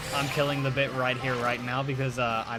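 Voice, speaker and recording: Noticeable background noise surrounds a man with a slight Irish accent who speaks in a monotone, flat intonation. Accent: Irish, slight, comes out on some words. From Ireland. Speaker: streamer. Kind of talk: casual chat. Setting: live stream.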